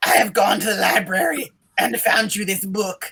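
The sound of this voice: In a put-on character voice, a man speaks high in pitch at a moderate pace.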